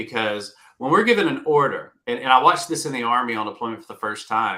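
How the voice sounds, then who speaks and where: On a very clean recording with a silent background, a man with a Southern US accent speaks fairly quickly at medium pitch, his tone bright and sharp and his intonation lively. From US South. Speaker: retired navy veteran, career coach. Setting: live video stream.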